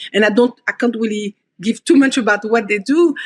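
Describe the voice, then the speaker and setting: Speaking with a French accent, a woman keeps a fairly quick pace. Her pitch is fairly high, with ordinary pitch variation. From French Caribbean (Guadeloupe), raised in Paris. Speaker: osteopath. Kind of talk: podcast interview. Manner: hesitant, many fillers; animated.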